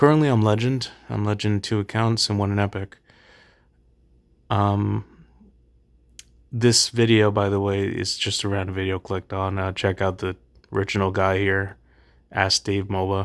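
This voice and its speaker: A soft-spoken man talks at a moderate pace in a fairly low pitch, with fairly even intonation and long, frequent pauses. The recording is very clean, with a silent background. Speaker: gaming youtuber. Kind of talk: casual commentary. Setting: late at night.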